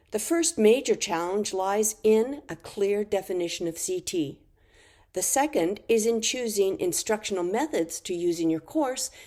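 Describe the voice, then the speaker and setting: A woman talks at a moderate pace in a dark, mellow tone at medium pitch, with very wide pitch swings. The recording is very clean, with a silent background. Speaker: university lecturer. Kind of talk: narrated lecture slides. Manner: formal.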